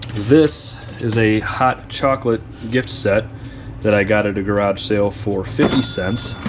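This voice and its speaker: Music plays in the background as a man speaks at a fairly slow pace. His voice is fairly low, with fairly even intonation. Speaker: online reseller. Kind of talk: casual vlog tutorial.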